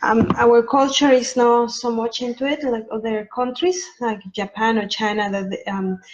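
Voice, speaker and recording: A woman with a strong Mexican accent speaks at a moderate pace with hardly any pauses, her fairly high pitch showing ordinary variation over noticeable background noise. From Mexico. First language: Spanish. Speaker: sleep consultant. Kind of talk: informational talk to camera. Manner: halting, many filler ums.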